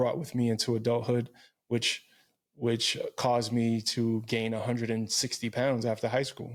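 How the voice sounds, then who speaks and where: On a very clean recording with a silent background, a man with a New York accent speaks at a moderate pace in a medium pitch and a monotone, flat intonation. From Brooklyn, New York City. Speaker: fitness coach. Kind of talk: personal testimony in interview.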